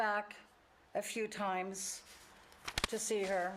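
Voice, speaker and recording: With a German accent, a woman is heard talking. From Germany. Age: 80s+. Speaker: church member sharing life story. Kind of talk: testimony. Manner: halting.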